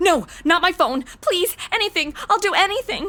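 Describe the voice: Putting on a character voice, a woman talks at a moderate pace, her pitch extremely high and her tone bright and sharp, with lively intonation.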